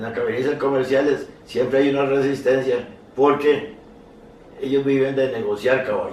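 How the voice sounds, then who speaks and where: Amid noticeable background noise and audible room echo, a man with a fairly high pitch speaks in a flat monotone at a moderate pace. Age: 80s+. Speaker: horse breeder and association veteran. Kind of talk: casual conversation. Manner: halting, repeats words.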